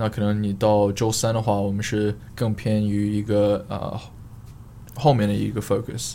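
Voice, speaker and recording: A dark, mellow tone in a non-native accent, monotone and flat. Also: man. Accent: foreign accent in Mandarin. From Australia, Queensland (Sunshine Coast). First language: English (speaking Chinese). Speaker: fitness coach and influencer. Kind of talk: casual chat. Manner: halting, many fillers and code-switching.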